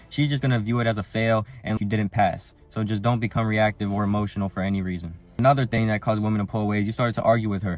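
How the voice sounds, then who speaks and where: A man's fairly low voice at a very fast pace, with hardly any pauses and fairly even intonation. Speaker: dating advice youtuber. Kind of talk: advice monologue. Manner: casual.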